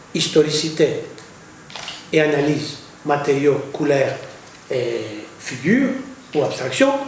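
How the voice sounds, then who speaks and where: A man talks at a very slow pace with long, frequent pauses, with audible room echo and noticeable background noise. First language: Greek (speaking French). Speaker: poet and art critic. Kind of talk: lecture. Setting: university lecture hall. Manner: halting, repeats words.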